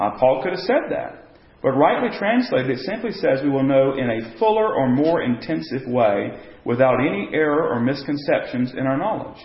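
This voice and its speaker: A fairly high-pitched man with lively intonation at a moderate pace, over noticeable background noise. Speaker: church Bible study teacher. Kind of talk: Bible study class teaching. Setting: church classroom with group. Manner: halting with frequent fillers.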